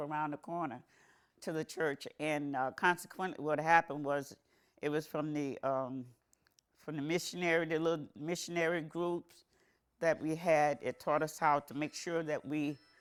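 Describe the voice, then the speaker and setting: A woman's very deep, low voice at a moderate pace, with fairly even intonation, on a very clean recording with a silent background. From South Florida. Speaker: oral history interviewee. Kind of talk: oral history interview. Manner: halting, with many repetitions.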